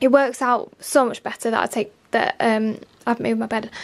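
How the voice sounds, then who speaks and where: At a moderate pace, a woman talks with fairly even intonation and a high pitch. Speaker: lifestyle vlogger. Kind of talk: casual vlog chat. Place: home room. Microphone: phone near.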